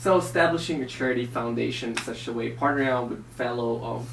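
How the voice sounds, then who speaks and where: Amid noticeable background noise and audible room echo, a man talks at a very fast pace with a medium-pitched voice. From Philippines, moved to Chicago at 10-11. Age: 20s. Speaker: entrepreneur being interviewed. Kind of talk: interview.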